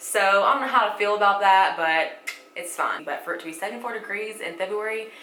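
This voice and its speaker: With an audible room echo and noticeable background noise, a woman speaks in a Southern US accent. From US South, Alabama. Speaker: beauty vlogger. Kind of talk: makeup tutorial. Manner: casual, chatty.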